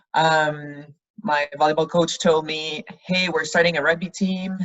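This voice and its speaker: A woman with a Quebec accent, fairly low in pitch, at a fairly slow pace. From Quebec, Canada. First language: French. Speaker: rugby player. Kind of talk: interview.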